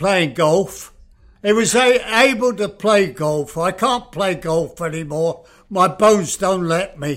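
A high-pitched man speaks at a very slow pace. His pitch varies in an ordinary way. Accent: English. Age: 80s+. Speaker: retirement home resident and co-host. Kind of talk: podcast interview.

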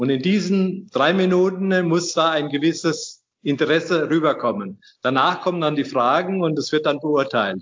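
A man's high voice with ordinary pitch variation. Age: 60s. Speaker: inventor, retired master mason and engineer. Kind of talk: interview. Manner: halting.

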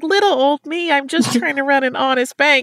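A woman performs a put-on character voice with a high pitch. She keeps a moderate pace. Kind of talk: sweet, falsely humble. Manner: mock-innocent, sing-song.

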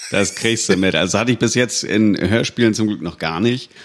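The voice belongs to a man. His pitch varies in an ordinary way. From Hamburg, northern Germany. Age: 30s. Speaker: voice actor. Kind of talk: casual chat.

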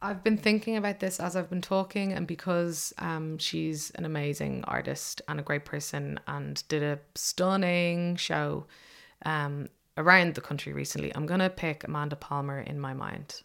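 The recording is very clean, its background silent. A woman talks with a very deep, low pitch and fairly even intonation. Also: moderate pace. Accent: Dublin. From Ireland, south Dublin suburbs. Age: young. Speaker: journalist and activist. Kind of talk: interview.

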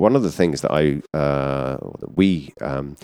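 A man with a British accent and vocal fry, in a dry, close sound with no echo. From southern England, Surrey. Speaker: menswear retail executive. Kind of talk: interview. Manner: hesitant, many fillers.

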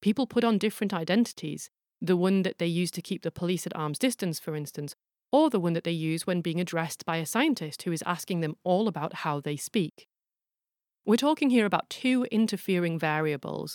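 A woman with a plain, everyday voice talks at a fairly quick pace in a fairly low pitch with lively intonation, recorded very cleanly against a silent background with a dry, close sound and no echo. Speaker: podcast host and forensic linguist. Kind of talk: scripted narration.

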